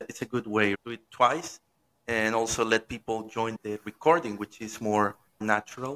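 Dry and close with no echo, a man's voice comes through with a bright, sharp tone, medium pitch, fairly even intonation and moderate pace in a Spanish accent. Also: big swings in loudness. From Venezuela. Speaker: podcast host. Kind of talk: interview. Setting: live-streamed remote interview.

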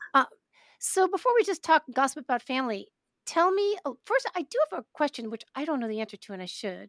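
On a very clean recording with a silent background and a dry, close sound with no echo, a woman with an American accent talks at a fairly quick pace in a high pitch with very wide pitch swings. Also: big swings in loudness. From New York, Brooklyn. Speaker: podcast host. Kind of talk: casual interview.

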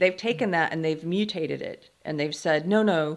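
A woman's unremarkable speaking voice, fairly low in pitch, with fairly even intonation. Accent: American. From US South, South Carolina. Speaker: writer and podcast host. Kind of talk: interview conversation. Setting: video call.

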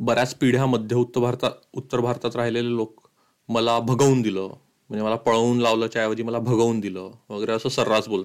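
Speaking in a monotone with flat intonation, a man keeps a medium pitch. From Madhya Pradesh, India. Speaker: podcaster and writer. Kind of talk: narrated podcast monologue.

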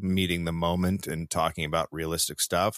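Here a man speaks with an American accent. The sound is dry and close with no echo, on a very clean recording with a silent background. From Northern California (Marin County). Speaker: comedian and podcaster. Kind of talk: casual chat.

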